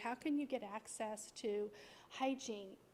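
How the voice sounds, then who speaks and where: Fairly slowly and at a high pitch, a woman speaks with ordinary pitch variation. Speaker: nonprofit leader. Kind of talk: guest talk to congregation. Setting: church service, streamed on Zoom.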